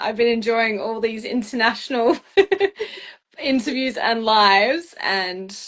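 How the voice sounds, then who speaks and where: Speaking at a fairly slow pace, a woman with an Australian accent uses a high pitch. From Perth, Western Australia. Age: 20s. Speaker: beauty pageant finalist. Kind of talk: casual interview chat. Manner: animated.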